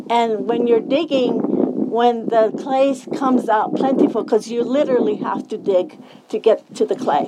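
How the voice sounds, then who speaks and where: Noticeable background noise is present. Over it, a woman speaks at a moderate pace, her pitch varying in an ordinary way. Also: fairly high pitch for a woman. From Zuni Pueblo, New Mexico. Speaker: traditional potter. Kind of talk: talk to a live audience.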